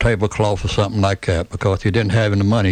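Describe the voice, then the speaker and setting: In a Tennessee accent, a man speaks at a fairly low pitch. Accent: US Southern (Tennessee). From Tennessee, Chattanooga. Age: 70s. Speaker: retired restaurant owner and civic figure. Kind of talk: radio interview. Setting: studio.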